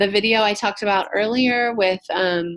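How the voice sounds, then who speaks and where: A woman's normal speaking voice at a moderate pace, with fairly even intonation. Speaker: social work professor running orientation. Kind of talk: online orientation presentation. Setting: video conference call.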